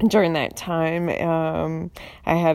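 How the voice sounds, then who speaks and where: At a very slow pace, a woman speaks in a North Carolina accent with a fairly low pitch. The recording is very clean, with a silent background. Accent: Southern US (North Carolina). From US South, eastern North Carolina. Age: 40s. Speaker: podcast host, writer. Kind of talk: casual monologue. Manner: halting, many fillers.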